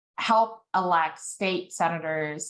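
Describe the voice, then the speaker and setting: Here is a woman with an American accent and a fairly low pitch. Her pitch varies in an ordinary way. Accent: Texan, comes out when nervous. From Texas. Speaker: advocacy group executive. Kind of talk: guest talk. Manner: halting with many fillers.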